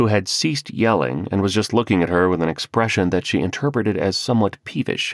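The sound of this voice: The speaker uses an unforced reading voice. The pitch moves in an ordinary way.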